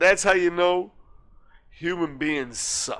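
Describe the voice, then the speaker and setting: A man speaks in a raised, projected voice with a bright, sharp, animated tone. The recording is very clean, with a silent background. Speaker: podcast co-host. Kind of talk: casual chat.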